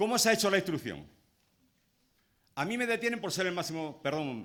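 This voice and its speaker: Racing at a very fast pace, a man speaks with very wide pitch swings. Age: 60s. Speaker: trade unionist. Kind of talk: speech at a public rally. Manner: impassioned.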